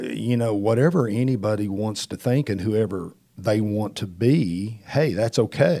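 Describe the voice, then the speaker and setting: An unremarkable speaking voice from a man, fairly low in pitch, at a fairly slow pace. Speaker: senior pastor. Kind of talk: casual chat.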